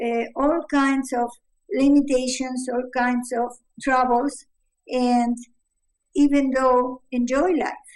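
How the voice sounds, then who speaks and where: A woman with a Spanish accent speaks at a high pitch and a very slow pace. Her intonation is fairly even, broken by long, frequent pauses. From Uruguay. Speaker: mother of the subject. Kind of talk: interview. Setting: video call. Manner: halting.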